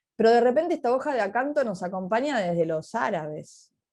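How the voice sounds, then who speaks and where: A woman speaks against a quiet background. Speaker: historian and teacher giving a talk. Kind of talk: online talk Q&A. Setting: video call. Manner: fast.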